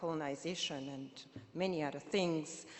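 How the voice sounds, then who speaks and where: Audible room echo fills the space. A woman's voice rings out within it. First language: Kirundi. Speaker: activist and poet, keynote speaker. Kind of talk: keynote speech. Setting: conference stage with audience. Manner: impassioned.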